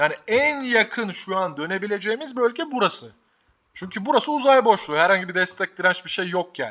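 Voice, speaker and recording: The voice is raised and projected, with an animated, bright, sharp tone. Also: man. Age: 20s. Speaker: stock market youtuber. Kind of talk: market commentary vlog.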